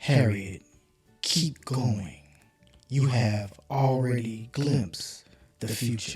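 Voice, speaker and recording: In a put-on character voice with a low-to-middle pitch, the speaker talks at a very slow pace with long, frequent pauses while faint music plays in the background. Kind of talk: read-aloud picture book. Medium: read story. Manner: gentle, steady, reassuring.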